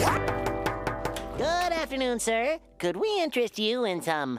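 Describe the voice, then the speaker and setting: A cartoonish character voice at a fairly high pitch speaks fairly slowly. Loud music and sound effects play in the background. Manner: chipper, eager.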